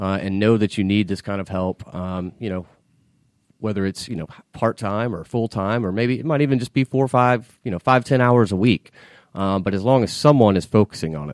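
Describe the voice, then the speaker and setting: In an American accent, a man with a fairly low pitch and an unremarkable speaking voice talks at a fairly quick pace with ordinary pitch variation on a very clean recording with a silent background. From US South, Atlanta area (Marietta, Georgia). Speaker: financial consultant. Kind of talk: interview. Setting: studio.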